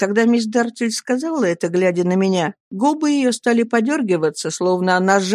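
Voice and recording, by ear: Natural-voiced reading aloud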